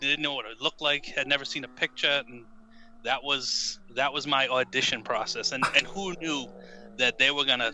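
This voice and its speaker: With an American accent, a man speaks at a moderate pace in a fairly high voice, his intonation fairly even but his loudness swinging widely. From United States. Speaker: author. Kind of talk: casual chat. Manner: halting, repeats words.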